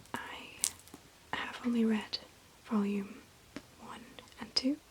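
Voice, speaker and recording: A very slow whisper over noticeable background noise. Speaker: ASMR creator. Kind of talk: ASMR show-and-tell of manga books. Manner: whispered.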